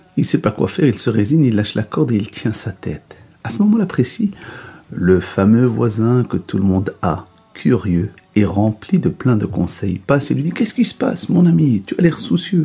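A man at a medium pitch and a moderate pace, with very wide pitch swings. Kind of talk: bedtime story telling, a folktale told aloud. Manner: dwells on the donkey's comic flaws with playful, wry emphasis.

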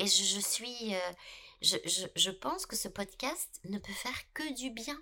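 A woman talks with a fairly high pitch. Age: 50s. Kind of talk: casual chat. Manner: halting, many repetitions.

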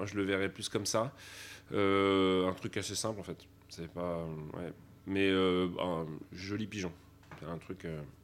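A man with a very deep, low voice speaks very slowly in a monotone, flat intonation. Long, frequent pauses fill a very clean recording with a silent background. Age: young. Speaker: sommelier. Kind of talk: interview testimony.

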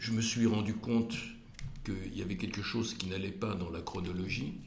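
At a moderate pace, a man with a fairly low, somewhat breathy voice talks amid audible room echo. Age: 70s. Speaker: cardiologist and community leader. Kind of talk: interview. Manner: halting.

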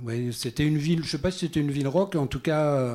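The recording is very clean with a silent background, as a man talks at a moderate pace with ordinary pitch variation. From Normandy, France. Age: 60s. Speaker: singer-songwriter. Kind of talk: casual chat. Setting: stage with audience.

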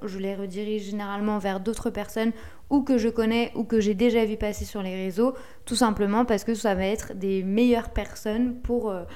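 A woman's fairly high voice with a dark, mellow tone, fairly even intonation and a moderate pace. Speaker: podcast host and SEO consultant. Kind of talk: solo podcast tutorial. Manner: relaxed, conversational.

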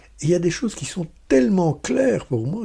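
A man speaks with lively intonation in a dark, mellow, warm tone that is somewhat breathy. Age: 60s. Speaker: podcast host, personal development coach. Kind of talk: solo podcast talk. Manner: warm, smiling.

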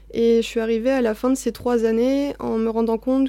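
The tone is dark and mellow, delivered in a monotone, flat intonation. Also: woman. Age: 20s. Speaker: forestry policy officer. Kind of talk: interview. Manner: halting.

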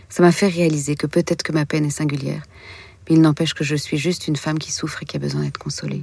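A woman's very fast speech in a dark, mellow tone with vocal fry. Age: 40s. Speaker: author and filmmaker. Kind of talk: interview about grief and consolation. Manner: hesitant, with fillers and repetitions.

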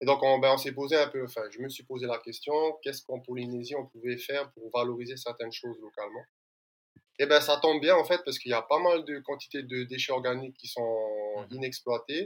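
A man with a normal speaking voice and medium pitch talks at a fairly quick pace, with big swings in loudness. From French Polynesia. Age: 30s. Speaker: environmental start-up founder. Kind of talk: interview.

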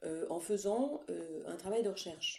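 A female speaker talks at a fairly slow pace and a medium pitch. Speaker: recorder player and music teacher. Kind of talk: interview. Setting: remote call during lockdown. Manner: hesitant, many fillers. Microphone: echo.

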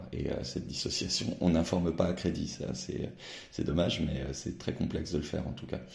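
A man with a very deep, low pitch talks at a moderate pace with ordinary pitch variation, and audible room echo surrounds him. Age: 40s. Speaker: newspaper editor-in-chief. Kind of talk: interview.

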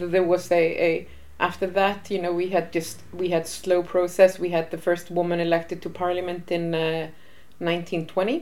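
Her voice fairly low in pitch, a woman with an Icelandic accent speaks in a monotone, flat intonation. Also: moderate pace. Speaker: women's rights association head. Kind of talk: interview. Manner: halting.

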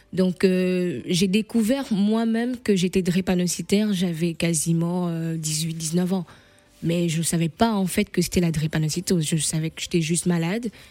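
A woman talks fairly slowly. Background music can be heard. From Gabon, Libreville. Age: 40s. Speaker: patient advocacy founder. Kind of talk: radio interview testimony.

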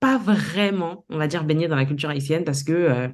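A woman speaks at a moderate pace. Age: 30s. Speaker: entrepreneur. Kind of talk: interview.

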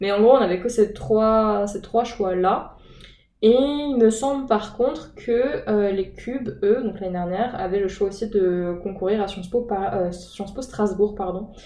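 Speaking at a fairly slow pace, a woman uses a medium pitch. Her pitch variation is ordinary. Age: 19. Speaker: student in preparatory literature class. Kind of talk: interview. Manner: hesitant, many fillers.

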